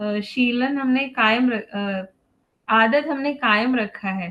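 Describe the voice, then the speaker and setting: A woman with a non-native accent speaks in a high pitch, her intonation fairly even. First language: not Hindi (speaking Hindi). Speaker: parent speaker at a parenting webinar. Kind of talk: webinar talk. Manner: halting, many fillers.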